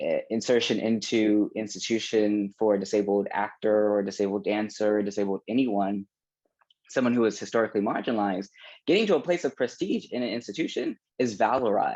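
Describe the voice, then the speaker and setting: The delivery is fairly brisk. Intonation remains mostly level. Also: man, fairly low pitch for a man. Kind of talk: panel discussion. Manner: halting, many restarts.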